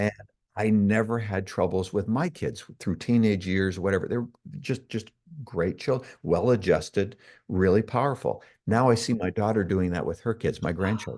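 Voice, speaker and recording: Over a quiet background, a man with an unremarkable speaking voice and a Canadian accent talks at a moderate pace and fairly low pitch, with ordinary pitch variation. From Canada. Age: 60s. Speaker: self-development coach. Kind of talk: interview.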